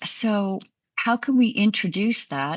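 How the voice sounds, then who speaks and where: This is a woman speaking. Her voice has vocal fry. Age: 60s. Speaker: physician. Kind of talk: interview.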